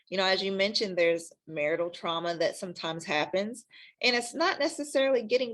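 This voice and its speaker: Here is a woman with a Kentucky accent. Her intonation is lively. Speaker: sex counselor. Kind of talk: interview. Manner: hesitant, many fillers.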